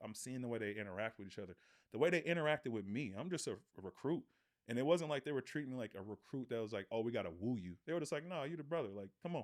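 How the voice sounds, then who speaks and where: On a very clean recording with a silent background, a man with an American accent talks at a very fast pace with lively intonation. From Oakland, California, US. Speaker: former pro football player. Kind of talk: casual interview.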